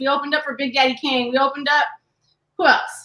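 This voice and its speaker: A raised, projected voice with a bright, sharp tone and an American accent, very fast pace, fairly even intonation. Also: woman. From Southern California, San Diego. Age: 40s. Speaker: podcast co-host, doctor. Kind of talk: casual chat.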